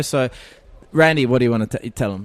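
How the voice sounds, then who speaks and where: A man with an Australian accent speaks at a fairly quick pace in a medium pitch, his intonation fairly even. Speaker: music producer and keyboard player. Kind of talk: interview. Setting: music festival.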